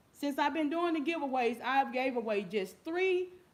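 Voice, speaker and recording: Loud and high-pitched, a woman speaks at a fairly slow pace with very wide pitch swings. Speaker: YouTube giveaway host. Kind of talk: casual livestream chat. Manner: repetitive.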